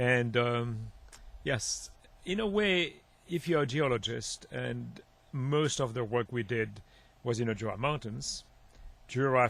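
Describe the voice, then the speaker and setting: A man with a Swiss French accent speaks at a fairly slow pace. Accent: Swiss French accent, noticeable. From Switzerland. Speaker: marine geologist, professor. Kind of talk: radio interview. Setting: radio studio. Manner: halting.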